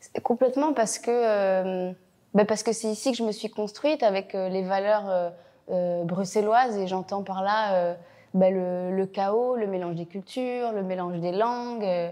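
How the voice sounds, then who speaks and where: Over a quiet background, a woman with a dark, mellow tone speaks at a fairly slow pace with ordinary pitch variation. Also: medium pitch for a woman. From Belgium, Brussels. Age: 20s. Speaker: actress. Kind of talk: interview. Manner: hesitant, many fillers.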